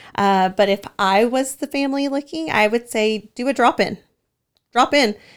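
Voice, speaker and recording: A woman speaks at a moderate pace in a fairly high pitch with ordinary pitch variation, recorded very cleanly against a silent background. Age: 30s. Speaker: senior living community manager. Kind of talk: casual interview. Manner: hesitant with many fillers.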